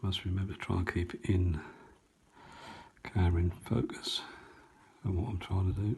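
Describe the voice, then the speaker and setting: A man with an East Anglian accent speaks in a very deep, low pitch with fairly even intonation. His pace is moderate, with long, frequent pauses. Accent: North Essex and South Suffolk. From East Anglia, England (North Essex / South Suffolk). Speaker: painting tutor. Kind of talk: tutorial. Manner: chatty.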